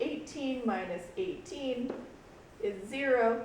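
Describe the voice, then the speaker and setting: A woman talks very slowly with very wide pitch swings and a fairly high voice. Noticeable background noise and audible room echo fill the recording. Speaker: schoolteacher. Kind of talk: tutorial. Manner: casual.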